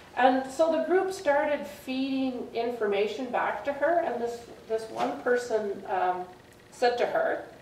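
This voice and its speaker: A woman with a Canadian accent speaks at a high pitch amid noticeable background noise and audible room echo. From Saskatchewan, Canada. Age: 60s. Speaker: retired police officer. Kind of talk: storytelling talk to an audience. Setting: public library with live audience.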